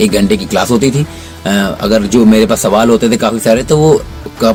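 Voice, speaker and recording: With music in the background, a man speaks in a medium pitch at a moderate pace with ordinary pitch variation. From North India. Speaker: cricketer; voice over trainee. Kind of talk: interview answer.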